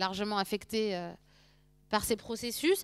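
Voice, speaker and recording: In a very clean recording with a silent background, a woman with a plain, everyday voice speaks at a moderate pace and fairly high pitch. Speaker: sociology lecturer. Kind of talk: lecture.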